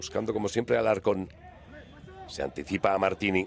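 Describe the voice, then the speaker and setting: Noticeable noise fills the background as a man talks rather quickly. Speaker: football commentator. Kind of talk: live football commentary. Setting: broadcast of a match. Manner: animated; excitable, rapid-fire.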